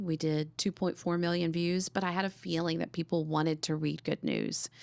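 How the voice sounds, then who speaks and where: The very clean recording with its silent background carries a woman speaking at a fairly quick pace in a monotone, flat intonation. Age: 60s. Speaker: cancer survivor and good-news publisher. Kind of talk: podcast interview. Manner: loud.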